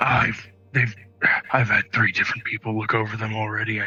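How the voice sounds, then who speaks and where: A raspy, put-on character voice runs at a fairly quick pace in a monotone, flat delivery over faint background music. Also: man, medium pitch for a man. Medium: actual play. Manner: hesitant, halting.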